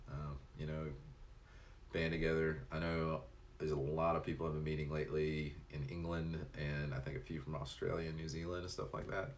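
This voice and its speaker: A man with a very deep, low voice speaks at a fairly quick pace in a monotone, flat way. Audible room echo and noticeable background noise surround him. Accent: slight Tennessee. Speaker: live streamer. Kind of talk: casual chat; reading aloud. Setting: live stream.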